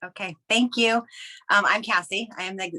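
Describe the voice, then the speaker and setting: The sound is dry and close, with no echo. A woman speaks in a bright, sharp tone with ordinary pitch variation. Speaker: direct sales team leader. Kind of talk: team call talk. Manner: fast; high energy.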